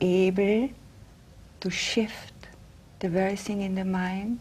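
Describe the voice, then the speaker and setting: Her tone dark, mellow and somewhat breathy, a woman speaks at a medium pitch and a fairly slow pace. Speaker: interviewer. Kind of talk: TV interview host.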